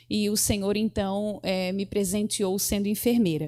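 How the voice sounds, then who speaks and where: In a very clean recording with a silent background, a woman speaks fairly slowly at medium pitch in a dark, mellow tone. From southern Brazil, Santa Catarina coast. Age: 30s. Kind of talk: interview at religious seminar.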